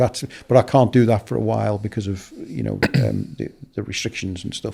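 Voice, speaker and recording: On a very clean recording with a silent background, a man in a Liverpool accent speaks at a fairly quick pace. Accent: Scouse (Liverpool). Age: 60s. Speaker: football broadcaster and journalist. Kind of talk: casual interview chat. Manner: hesitant, many fillers and repetitions.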